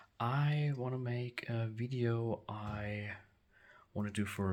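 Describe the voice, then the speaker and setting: A man talks with a German accent. His pitch shows ordinary variation. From Germany. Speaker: action figure collector. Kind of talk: room tour video. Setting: basement. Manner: halting, many fillers.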